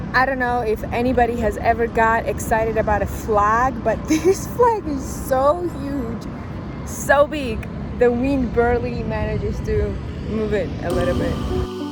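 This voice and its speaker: Noticeable background noise and audible room echo accompany a woman speaking at a fairly slow pace. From Georgia (country). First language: Georgian. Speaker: travel vlogger. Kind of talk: vlog narration. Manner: casual.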